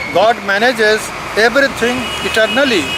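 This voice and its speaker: A man with an Indian accent speaks at a fairly slow pace and a high pitch. Background noise is noticeable. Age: 70s. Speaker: professor. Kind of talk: reading aloud.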